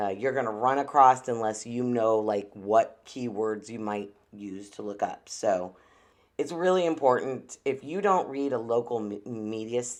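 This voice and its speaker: A woman's very deep, low voice at a moderate pace, with ordinary pitch variation, big swings in loudness, and a quiet background. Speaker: podcast host. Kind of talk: solo podcast commentary. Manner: stutters often; casual, filler-heavy.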